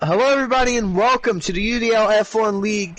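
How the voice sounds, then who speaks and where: A man speaks loudly. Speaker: sim racing commentator. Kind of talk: live commentary. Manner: animated.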